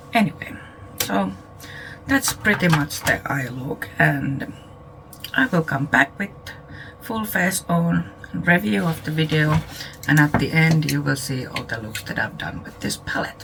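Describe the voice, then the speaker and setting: Quietly and at a fairly slow pace, a woman speaks at a very deep, low pitch with very wide pitch swings and long, frequent pauses over noticeable background noise. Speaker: beauty YouTuber. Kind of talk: product review.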